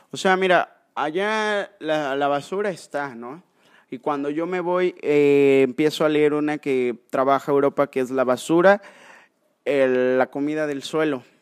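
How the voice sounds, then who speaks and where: This is an unremarkable speaking voice at a fairly slow pace with ordinary pitch variation. The recording is very clean with a silent background and a dry, close sound with no echo. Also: man, fairly high pitch for a man. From Mexico, Córdoba, Veracruz. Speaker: wildlife rescuer and biologist. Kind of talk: casual chat. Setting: in person at the guest's sanctuary.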